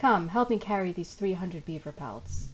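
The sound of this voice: In a put-on character voice, a female-sounding speaker uses a fairly low pitch at a moderate pace over clear background noise.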